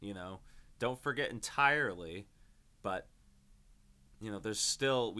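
A man's bright, sharp voice at a fairly low pitch, with ordinary pitch variation and a moderate pace. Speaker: podcast host and pro wrestler. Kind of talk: casual solo monologue. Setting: home recording at desk. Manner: halting, stammering.

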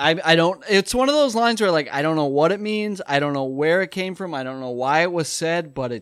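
A normal speaking voice with lively intonation comes through in a very clean recording with a silent background. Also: man. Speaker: podcast co-host. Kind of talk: casual chat.

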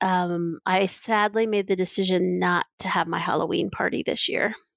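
A woman with a normal speaking voice talks at a fairly slow pace in a medium pitch, her intonation fairly even and the sound dry and close with no echo. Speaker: podcast co-host. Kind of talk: casual chat. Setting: video call.

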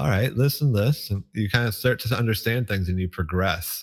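A man's somewhat breathy voice moves at a fairly quick pace in a very clean recording with a silent background. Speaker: speedrunner. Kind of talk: casual chat.

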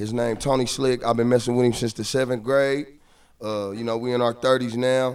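With an American accent, a man speaks at a fairly quick pace. His intonation is monotone and flat. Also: medium pitch for a man. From Kansas City, Missouri. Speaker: rapper. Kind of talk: casual chat.

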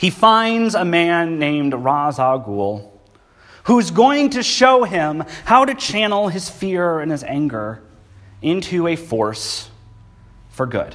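With audible room echo, a man talks at a very slow pace in a high pitch that takes very wide swings. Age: 20s. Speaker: pastor. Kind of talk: sermon. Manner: casual.

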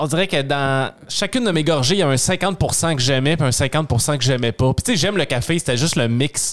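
Over noticeable background noise, a man with a fairly high pitch talks at a moderate pace with ordinary pitch variation, very even loudness and hardly any pauses. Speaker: podcast guest. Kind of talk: casual chat.

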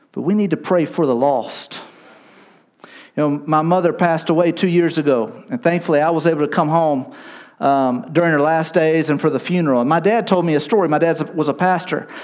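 Here a man has an ordinary speaking voice, fairly high in pitch, talking at a fairly quick pace with ordinary pitch variation and very even loudness. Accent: American. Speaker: missionary. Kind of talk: sermon. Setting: church.

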